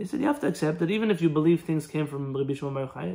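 The background stays quiet while a man speaks with ordinary rises and falls in pitch. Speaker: religious teacher. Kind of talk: live Q&A answer, lecture style. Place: home room. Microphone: phone near.

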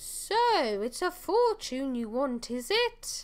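Using a put-on character voice, a woman speaks at a very slow pace. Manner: funny, theatrical.

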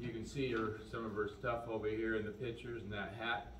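Speaking at a moderate pace with an American accent, a man is heard through light background noise and audible room echo. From US Midwest, Iowa. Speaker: eulogist reading an obituary. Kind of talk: graveside-style eulogy, reading the obituary aloud then sharing personal memories. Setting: outdoors at a memorial gathering with mourners. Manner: plain, unpolished reading with frequent 'uh' and 'um' hesitations over names; folksy and gently humorous, warmly sad when reminiscing. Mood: solemn, calm. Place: hall. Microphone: camera far.

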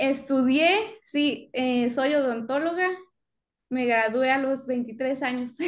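Against a quiet background, a woman speaks at a very slow pace in a high voice with ordinary pitch variation. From Mexico. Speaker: dentist. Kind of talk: casual conversation. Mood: warm, smiling. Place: home room.

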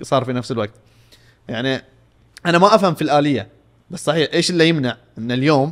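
A man with a Saudi accent speaks in an animated tone with ordinary pitch variation over a quiet background. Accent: Saudi Gulf Arabic. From Saudi Arabia. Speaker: football podcast panelist; podcast co-host. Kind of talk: casual sports talk. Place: studio. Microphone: studio mic.

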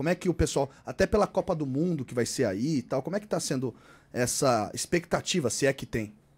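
A man talks with a fairly high pitch and lively intonation. His pace is moderate. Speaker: sports podcast host. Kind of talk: casual chat. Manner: animated. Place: home room.

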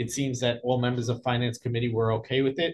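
Somewhat breathy, a man speaks in a flat monotone. He moves at a fairly quick pace over light background noise. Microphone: video call.

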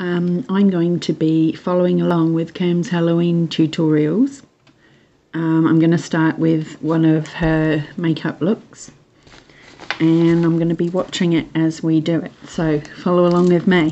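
A woman with a fairly low pitch talks at a fairly slow pace with fairly even intonation, in a normal speaking voice. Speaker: makeup vlogger. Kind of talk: tutorial. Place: home room. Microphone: phone near.

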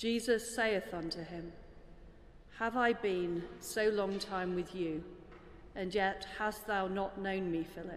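Speaking at a very slow pace with long, frequent pauses, a woman keeps fairly even intonation over light background noise. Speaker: reader of the lesson. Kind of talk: formal scripture reading. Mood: solemn, measured. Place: church. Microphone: podium.

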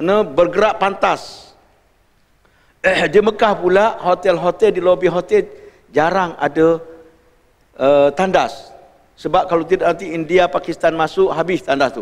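A man speaks slowly with a high voice and fairly even intonation, leaving long, frequent pauses. The background is quiet. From Malaysia. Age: 60s. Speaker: religious teacher. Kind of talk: lecture. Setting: mosque. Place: hall.

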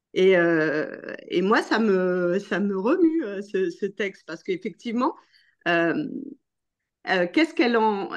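A very slow woman's voice of medium pitch, with very wide pitch swings and long, frequent pauses against a quiet background. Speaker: association ambassador, participant. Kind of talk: participant comment in discussion. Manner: halting. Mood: reflective, emotionally moved. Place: home room. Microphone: video call.

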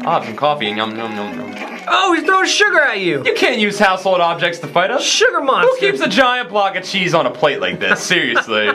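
A man speaking with hardly any pauses over faint background music. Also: fairly quick pace. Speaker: show host playing games. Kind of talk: casual gameplay commentary. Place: studio.

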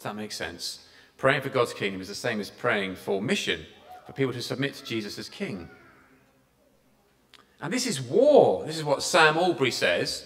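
A man speaks at a moderate pace. Long pauses come often. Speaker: preacher. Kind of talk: church sermon. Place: hall. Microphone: podium.

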